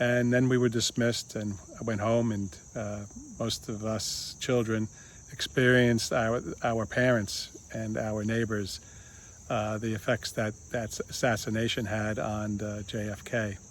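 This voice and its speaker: Noticeable background noise sits behind a man with an American accent. He talks at a fairly slow pace in a monotone, flat intonation. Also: medium pitch for a man. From United States. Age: 60s. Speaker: video blogger. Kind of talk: casual monologue. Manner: halting, many fillers.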